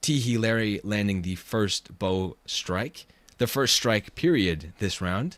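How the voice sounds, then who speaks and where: A man with a fairly low pitch speaks at a very slow pace. His intonation is lively. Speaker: streamer and event commentator. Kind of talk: live commentary. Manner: stutters, repeats words.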